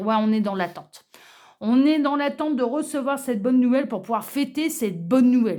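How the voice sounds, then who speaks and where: A woman speaks high in pitch, her intonation lively. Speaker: tarot card reader. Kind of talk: card reading presentation. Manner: hesitant, many fillers.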